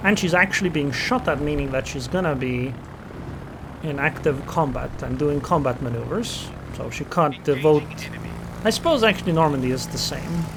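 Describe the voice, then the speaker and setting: The speaker has an Estonian accent. Noticeable background noise runs under the voice. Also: moderate pace. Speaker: gaming commentator. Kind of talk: gameplay commentary. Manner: casual, thinking aloud.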